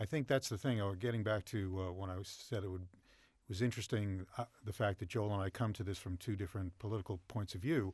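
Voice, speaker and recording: A man with an American accent speaks at a very fast pace. His fairly low voice is somewhat breathy, recorded very cleanly against a silent background. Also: ordinary pitch variation. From New York City. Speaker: television producer. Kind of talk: interview. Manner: casual, joking.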